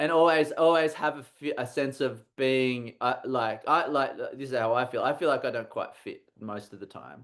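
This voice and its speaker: Man with an Australian accent, fairly high pitch and ordinary pitch variation, over a quiet background. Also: moderate pace, big swings in loudness. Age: 40s. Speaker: comics artist and university teacher. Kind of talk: casual chat. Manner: halting, many repetitions.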